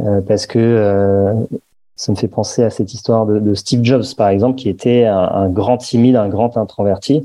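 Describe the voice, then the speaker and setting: A man with a fairly low voice speaks fairly slowly, his intonation fairly even. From Paris, France. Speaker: entrepreneur, meditation app founder. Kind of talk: podcast interview.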